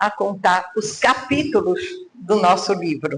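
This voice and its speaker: A woman speaks at a very slow pace. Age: 70s. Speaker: mentor and speaker. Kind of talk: motivational talk.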